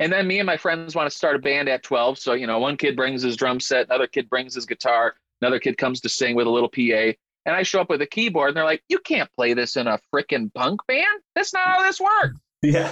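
A man with an American accent talks at a very fast pace in a fairly high pitch, his tone bright and sharp, his pitch variation ordinary, the sound dry and close with no echo. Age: 30s. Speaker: drummer and content creator. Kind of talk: casual interview chat.

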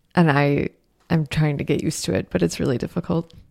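With vocal fry and a very deep, low pitch, a woman speaks in a dry, close sound with no echo. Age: 20s. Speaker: podcast co-host, mother. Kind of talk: casual chat.

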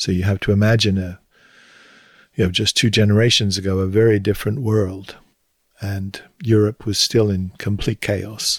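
On a very clean recording with a silent background, a man with a southern English accent speaks at a moderate pace in a fairly low, somewhat breathy voice, with monotone, flat intonation and long, frequent pauses. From southern England, Hampshire. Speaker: retired theology professor. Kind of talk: interview.

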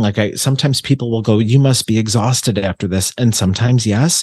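An ordinary speaking voice from a man with an American accent, fairly quick, with ordinary pitch variation and a dry, close sound with no echo. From Buffalo, New York. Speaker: psychic medium. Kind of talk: casual chat.

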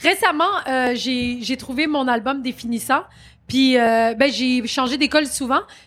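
Loud and fairly slow, a woman speaks at a high pitch with ordinary pitch variation. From Quebec, Saint-Jean-sur-Richelieu. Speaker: comedian and actress. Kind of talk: interview. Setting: live stage at comedy festival.

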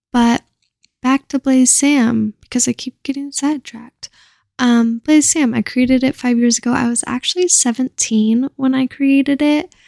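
At a moderate pace, a woman talks in a high pitch with a dark, mellow tone and fairly even intonation, the sound dry and close with no echo. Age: 20s. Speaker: podcast host and cannabis content creator. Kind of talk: casual solo chat. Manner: rambling, casual.

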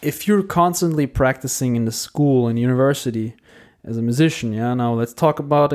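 Using an ordinary speaking voice at medium pitch, a man talks at a fairly quick pace with ordinary pitch variation. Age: 20s. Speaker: classical musician podcaster. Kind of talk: solo monologue, casual.

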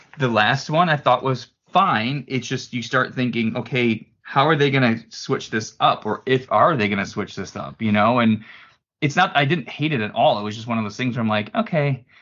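A man with an unremarkable speaking voice, medium pitch, ordinary pitch variation and a moderate pace. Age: 40s. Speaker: apparel company president. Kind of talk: casual chat.

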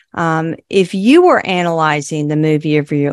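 Her pitch is very deep and low for a woman, with ordinary variation. She speaks at a fairly slow pace.

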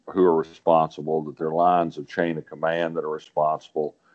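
A man is speaking. He has an Arkansas accent. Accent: Southern US (Arkansas). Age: 70s. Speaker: political columnist, regular commentator. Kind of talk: casual political commentary chat. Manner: halting, repeats words.

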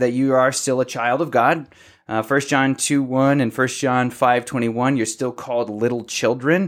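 This man has a normal speaking voice at medium pitch. He moves at a moderate pace with fairly even intonation. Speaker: podcast co-host discussing theology. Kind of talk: casual theological discussion.

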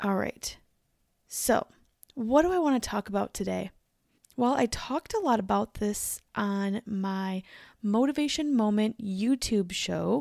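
A woman with a medium pitch speaks at a fairly slow pace in a raspy voice with vocal fry, a slightly mellow tone and lively intonation, on a very clean recording with a silent background.

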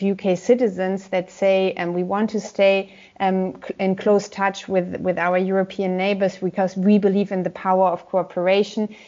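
A woman with a German accent, medium pitch and monotone, flat intonation at a moderate pace. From Germany, Gelsenkirchen. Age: 30s. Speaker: politician. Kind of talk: interview.

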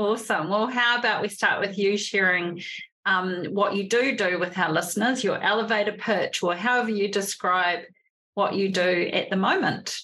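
The voice has a New Zealand accent and a bright, sharp tone. Its intonation is fairly even and its loudness stays very even. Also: woman, medium pitch for a woman, moderate pace. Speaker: podcast host. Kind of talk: interview.

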